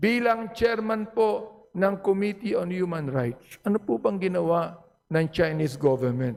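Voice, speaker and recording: Loud and high-pitched, a man speaks at a very slow pace with lively intonation. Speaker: legislator. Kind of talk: parliamentary speech. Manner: animated.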